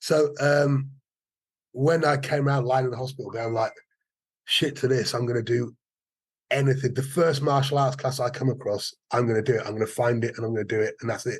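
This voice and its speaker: Over a quiet background, a man talks at a fairly quick pace, somewhat breathy and with fairly even intonation. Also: medium pitch for a man. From Wales, Cardiff and Forest of Dean. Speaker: martial arts teacher. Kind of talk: casual interview chat. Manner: halting, many repetitions.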